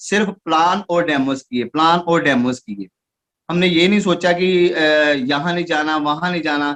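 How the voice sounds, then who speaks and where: Speaking with a Punjabi accent, a man uses a high pitch with ordinary pitch variation. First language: Punjabi (speaking Hindi). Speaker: network marketing distributor. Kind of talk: achievement speech. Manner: halting.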